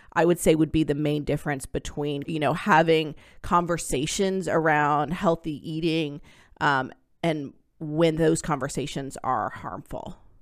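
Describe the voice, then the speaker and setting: A woman with a very deep, low pitch uses an animated tone at a fairly slow pace. The recording is very clean, with a silent background. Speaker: academic researcher and podcast host. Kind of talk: casual chat.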